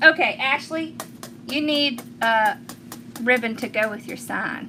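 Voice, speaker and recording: A woman with a Southern US accent, high-pitched and very slow, over noticeable background noise. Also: big swings in loudness. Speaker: craft tutorial host. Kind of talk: live-stream craft tutorial. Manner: chatty, casual.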